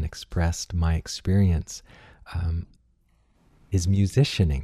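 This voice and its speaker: The voice is resonant and somewhat breathy, with a dark, mellow tone and ordinary pitch variation. The recording is very clean, with a silent background. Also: man. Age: 50s. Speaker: podcast host, musician and wellness teacher. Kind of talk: casual interview conversation.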